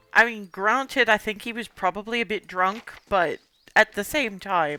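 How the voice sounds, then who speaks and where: The voice has a bright, sharp tone, ordinary pitch variation, and a moderate pace, in a dry, close sound with no echo. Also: woman, fairly high pitch for a woman. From Canada. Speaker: streamer. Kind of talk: casual chat.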